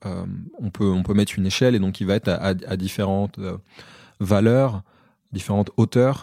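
The recording is very clean, with a silent background. A man speaks at a fairly low pitch in a dark, mellow tone with ordinary pitch variation. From France, Paris suburbs. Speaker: Paralympic athlete. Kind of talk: interview conversation. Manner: halting.

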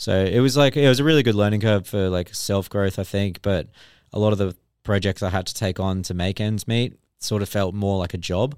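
Speaking at a fairly quick pace with an Australian accent, a man is heard in a very clean recording with a silent background. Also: ordinary pitch variation. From Australia, Brisbane (Redlands). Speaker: artist and former band vocalist. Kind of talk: casual chat.

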